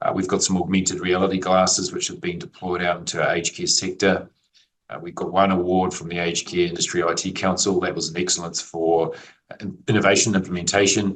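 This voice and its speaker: A man speaks at a very fast pace in a New Zealand accent. His very deep, low voice stays monotone and flat. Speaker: IT executive. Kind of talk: interview.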